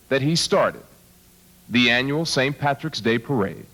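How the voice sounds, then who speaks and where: Backed by music in the background, a man with an American accent speaks with a fairly high pitch. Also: very even loudness. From Pittsburgh, western Pennsylvania. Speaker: broadcaster presenting awards. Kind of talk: awards ceremony tribute speech. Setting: theater stage with audience.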